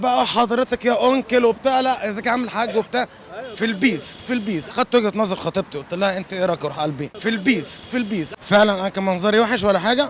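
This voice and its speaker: Against noticeable background noise, a man with a high pitch speaks at a fairly quick pace with ordinary pitch variation. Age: young. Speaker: comedic street personality, radiology doctor. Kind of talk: casual street interview. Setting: outdoors on the street.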